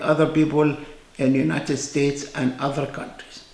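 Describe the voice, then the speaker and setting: Amid noticeable background noise and audible room echo, a man with an Egyptian accent talks at a fairly high pitch with fairly even intonation. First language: Arabic. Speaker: physician. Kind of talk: informal talk to camera. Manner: hesitant, with fillers.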